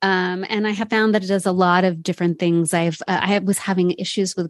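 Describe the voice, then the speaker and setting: A woman speaks in a normal speaking voice at a fairly quick pace, with medium pitch and fairly even intonation. The recording is very clean with a silent background, and the sound is dry and close with no echo. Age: 40s. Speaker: podcast host. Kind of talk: casual interview chat.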